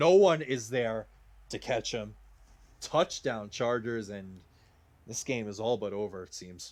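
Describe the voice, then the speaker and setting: In a very clean recording with a silent background, a man with a Rhode Island accent speaks at a fairly slow pace and medium pitch, with ordinary pitch variation. His loudness swings widely, and he leaves long, frequent pauses. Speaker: video game commentator. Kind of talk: live commentary. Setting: live stream. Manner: casual, with many filler uh's.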